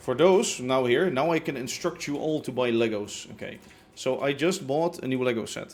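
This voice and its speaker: Speaking with a Dutch accent, a man keeps a medium pitch, ordinary pitch variation and a moderate pace. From Netherlands. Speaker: livestreamer, Minecraft gamer. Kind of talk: casual live-stream chat.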